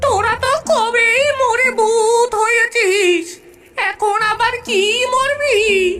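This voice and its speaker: The speaker does a cartoonish character voice at a very slow pace. Loudness stays very even, with ordinary pitch variation. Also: woman, extremely high pitch for a woman. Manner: bossy, scolding.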